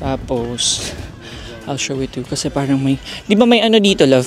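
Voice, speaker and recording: Over music in the background, a man with a fairly high pitch talks at a fairly quick pace, his tone relaxed and his intonation lively. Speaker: travel vlogger. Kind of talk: casual travel vlog. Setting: outdoors. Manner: relaxed, chill.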